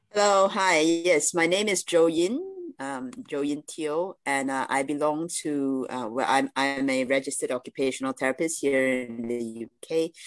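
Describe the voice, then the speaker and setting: A woman's very deep, low voice with ordinary pitch variation, a moderate pace and hardly any pauses, in a dry, close sound with no echo. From Malaysia. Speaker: occupational therapist. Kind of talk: panel discussion. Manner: halting, many fillers.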